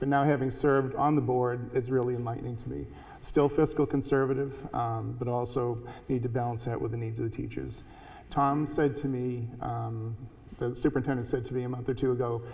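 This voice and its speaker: Monotone, flat delivery from a man of medium pitch at a fairly quick pace, with audible room echo. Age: 60s. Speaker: school board member. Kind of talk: candidate forum remarks. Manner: halting.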